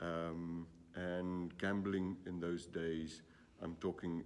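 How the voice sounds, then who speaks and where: This man's voice is very deep and low. His intonation remains fairly even. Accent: South African. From South Africa. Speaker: gambling industry executive. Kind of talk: interview. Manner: hesitant, many fillers.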